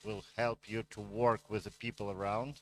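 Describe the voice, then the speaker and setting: On a very clean recording with a silent background, a man speaks at a fairly slow pace with a medium pitch, in a dry, close sound with no echo. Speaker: tech executive. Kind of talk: conference keynote talk. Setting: stage with audience. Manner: halting, many fillers.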